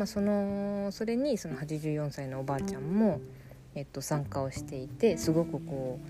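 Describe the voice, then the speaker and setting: A woman speaks at a moderate pace in a very deep, low pitch, her tone dark and mellow, somewhat breathy, with audible room echo. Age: 20s. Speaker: podcast host, horse journalist. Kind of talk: solo podcast monologue. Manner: casual, hesitant with many fillers.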